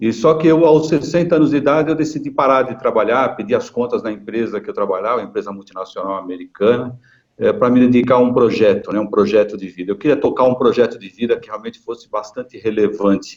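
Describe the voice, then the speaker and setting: Barely pausing at all, a man with a medium pitch speaks at a very fast pace, his intonation lively and his loudness swinging widely. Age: 60s. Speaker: retired marketing executive and video channel creator. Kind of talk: webinar panel talk.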